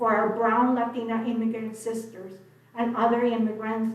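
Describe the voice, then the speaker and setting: A woman's fairly high voice at a fairly slow pace, with audible room echo. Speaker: public commenter. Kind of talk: public comment at council meeting. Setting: city commission meeting.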